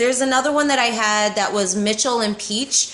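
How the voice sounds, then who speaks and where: A woman with an ordinary speaking voice talks at a fairly high pitch with lively intonation. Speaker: beauty vlogger. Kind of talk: product review vlog.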